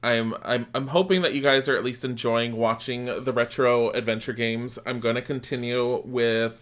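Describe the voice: What we have is plain reading aloud.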